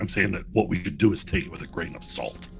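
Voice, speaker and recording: A man puts on a raspy character voice. Clear background noise sits behind him. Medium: actual play. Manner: suspicious, blunt.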